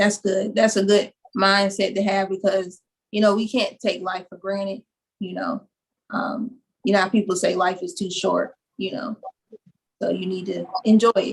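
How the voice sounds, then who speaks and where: Speaking at a moderate pace with long, frequent pauses, a woman uses a somewhat breathy, medium-pitched voice and fairly even intonation. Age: young. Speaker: interviewer. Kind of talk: interview.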